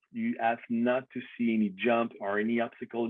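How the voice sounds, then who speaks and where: A man's medium-pitched, monotone, flat delivery in a Quebec accent at a moderate pace. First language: French. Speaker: BMX industry figure, former racer. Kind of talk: casual chat. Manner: halting.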